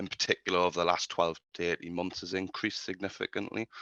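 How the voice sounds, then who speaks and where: Over a quiet background, a man with a British accent speaks very fast in a very deep, low pitch, his bright, sharp tone captured in a dry, close sound with no echo. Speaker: marketing agency speaker. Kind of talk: webinar presentation. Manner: hesitant, many fillers.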